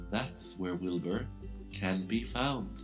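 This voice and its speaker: Over music in the background, a man's voice makes very wide pitch swings. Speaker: author reading his own book. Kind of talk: children's rhyming story narration.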